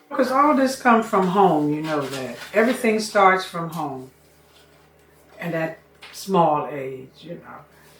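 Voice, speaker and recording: Very wide pitch swings and big swings in loudness at a fairly slow pace, over noticeable background noise. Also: woman, fairly low pitch for a woman. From Washington DC, Anacostia. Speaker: community elder. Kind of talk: oral history interview.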